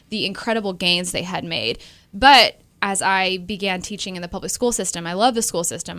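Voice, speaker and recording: A woman's unremarkable speaking voice at medium pitch and moderate pace, with ordinary pitch variation, on a very clean recording with a silent background. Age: 20s. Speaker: special education business owner. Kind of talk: interview conversation.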